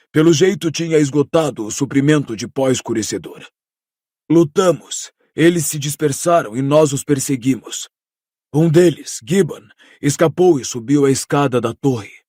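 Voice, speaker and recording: Putting on a character voice, a man speaks fairly high in a hoarse tone. He keeps a moderate pace. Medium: read story. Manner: firm.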